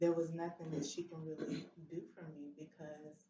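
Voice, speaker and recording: A woman speaks at a fairly slow pace with a very deep, low pitch. Her voice is somewhat breathy, and her intonation is fairly even. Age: 40s. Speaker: stroke survivor and advocate. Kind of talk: testimony.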